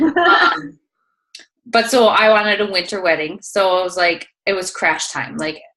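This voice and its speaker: A woman's bright, sharp tone with a Minnesotan accent, at a moderate pace. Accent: Minnesota. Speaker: fitness coach. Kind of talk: interview. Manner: casual, many fillers.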